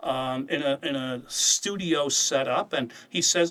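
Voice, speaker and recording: Here is a man with a normal speaking voice. It is fairly high in pitch, with ordinary pitch variation. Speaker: head of an apologetics ministry and Bible teacher. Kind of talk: casual chat.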